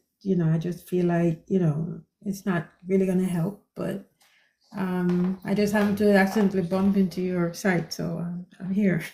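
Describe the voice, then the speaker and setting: At a moderate pace, a woman speaks in a medium pitch with a monotone, flat intonation, a somewhat breathy quality and a dark, mellow tone. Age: 60s. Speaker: caller asking about eye health. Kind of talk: live stream Q&A. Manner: halting, many fillers.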